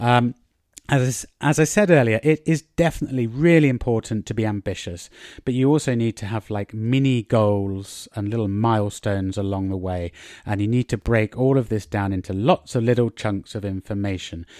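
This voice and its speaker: With an English accent, a man speaks at a medium pitch with ordinary pitch variation, the sound dry and close with no echo on a very clean recording over a silent background. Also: fairly quick pace. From England. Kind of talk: solo podcast monologue, language-learning tips. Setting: outdoors in a garden. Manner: casual, chatty with fillers.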